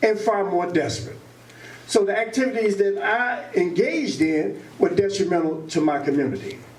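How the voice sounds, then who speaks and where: A man talks at a moderate pace, his voice carrying audible room echo with noticeable background noise around it. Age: 60s. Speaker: formerly incarcerated advocate. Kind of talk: public talk at community meeting. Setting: public meeting with audience.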